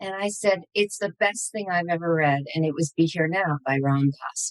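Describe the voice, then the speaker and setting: With an American accent, a woman with an unremarkable speaking voice talks at a moderate pace in a fairly low pitch with ordinary pitch variation, the sound dry and close with no echo. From US Northeast, New York area. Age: 50s. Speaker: psychotherapist. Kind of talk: interview.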